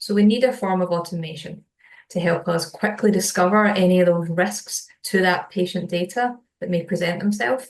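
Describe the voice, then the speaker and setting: A somewhat breathy woman's voice at medium pitch, with a Scottish accent, a moderate pace and fairly even intonation. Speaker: solutions engineer. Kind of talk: webinar product presentation.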